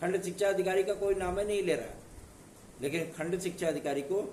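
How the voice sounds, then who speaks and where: A man speaks at a moderate pace. His pitch sits high. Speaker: exam news presenter. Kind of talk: informational video talk.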